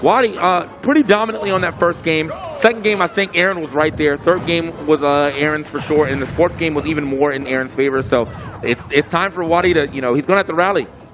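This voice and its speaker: Over background music, a man speaks at a very fast pace. His pitch is fairly high and varies in an ordinary way. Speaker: esports commentator. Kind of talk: live commentary.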